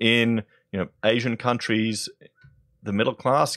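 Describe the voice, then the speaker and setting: Vocal fry marks a man speaking at medium pitch in an Australian accent. The recording is very clean with a silent background, and the sound is dry and close with no echo. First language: German (bilingual). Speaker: political commentary YouTuber. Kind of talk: video commentary. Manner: animated.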